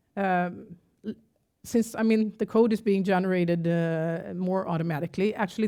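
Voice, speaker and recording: With a Gothenburg accent, a woman talks at a moderate pace in a dark, mellow tone with ordinary pitch variation. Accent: Gothenburg Swedish. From Sweden, Gothenburg. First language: Swedish. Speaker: tech company CEO. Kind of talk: conference talk. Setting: stage with audience.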